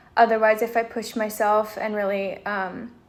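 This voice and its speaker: A woman with a plain, everyday voice speaks at a moderate pace, her fairly high pitch following fairly even intonation. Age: 20s. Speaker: vlogger sharing chronic illness experience. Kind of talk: personal vlog monologue. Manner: casual with frequent fillers.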